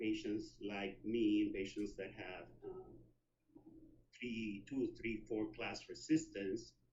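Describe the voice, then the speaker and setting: The man here talks very slowly. The room echo is audible. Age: 60s. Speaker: HIV activist and long-term survivor. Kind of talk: conference presentation. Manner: hesitant, many fillers.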